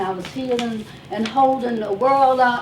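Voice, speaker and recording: A loud woman's voice, high in pitch with fairly even intonation, amid noticeable background noise and audible room echo. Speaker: wellness speaker and life coach. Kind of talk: testimony.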